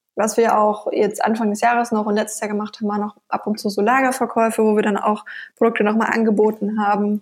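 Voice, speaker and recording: A woman talks at a very fast pace in a fairly high pitch. Her intonation is monotone and flat. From Bavaria, Nuremberg (Franconia). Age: 20s. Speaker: online shop founder. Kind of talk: interview.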